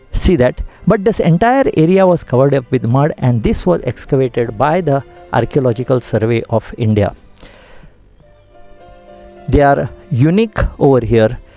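A man talks at a moderate pace in a dry sound with no echo. Faint music sits in the background. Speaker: TV presenter. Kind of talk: travel show commentary. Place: open country. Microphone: handheld.

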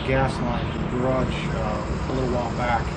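Loud noise fills the background as a man delivers his words at a moderate speed. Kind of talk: tutorial. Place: garage.

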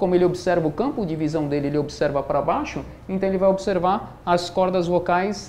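Light background noise is present. A man talks at a moderate pace, his pitch varying in an ordinary way. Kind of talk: medical explainer. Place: office. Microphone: lapel.

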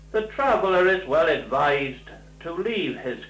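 At a very slow pace, a man with a high pitch speaks amid audible room echo and faint music in the background. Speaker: documentary narrator. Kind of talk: documentary narration. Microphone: old recording.

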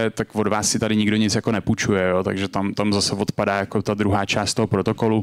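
With flat intonation, a man talks in a monotone. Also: quiet background. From Czech Republic. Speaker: crypto startup co-founder; conference speaker. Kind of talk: lecture. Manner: casual, filler-heavy. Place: hall. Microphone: handheld.

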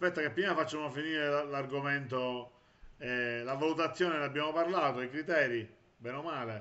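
A normal speaking voice from a man, at a moderate pace, fairly high-pitched, with ordinary pitch variation. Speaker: web TV host. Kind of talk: interview. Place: home room. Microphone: video call.

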